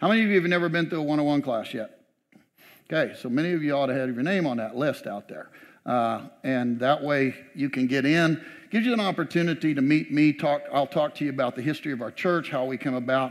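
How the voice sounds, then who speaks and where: Over a quiet background, a man talks at a very fast pace with ordinary pitch variation. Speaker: pastor. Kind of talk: church announcements to congregation. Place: church. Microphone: headset.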